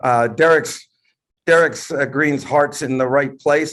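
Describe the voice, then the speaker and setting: Here a man has an ordinary speaking voice, pitched fairly high, with ordinary pitch variation. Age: 60s. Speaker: entrepreneur. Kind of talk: panel discussion on video call. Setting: video call.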